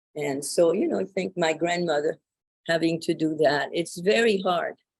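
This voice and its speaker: Using a French accent, a woman talks at a moderate pace with a fairly low pitch and ordinary pitch variation. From France. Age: 80s+. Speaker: Holocaust survivor, retired professor. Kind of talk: testimony. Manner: halting.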